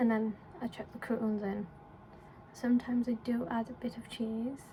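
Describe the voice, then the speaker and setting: A woman speaks in a fairly high pitch with an English accent. Her intonation is monotone and flat, with noticeable background noise behind her. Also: moderate pace. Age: 20s. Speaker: vlogger. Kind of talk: casual vlog chat. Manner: casual, rambling with fillers.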